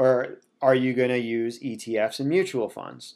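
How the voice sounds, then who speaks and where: With ordinary pitch variation and a medium pitch, this man has an unremarkable speaking voice. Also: very clean recording, silent background. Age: 30s. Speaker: personal finance podcaster. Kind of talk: casual explainer livestream. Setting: Facebook Live stream.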